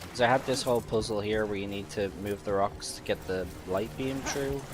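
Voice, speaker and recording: A man's fairly low voice at a fairly quick pace, with ordinary pitch variation and noticeable background noise. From Ireland, Dublin (Tallaght). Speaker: video game streamer. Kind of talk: casual livestream gameplay commentary. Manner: animated.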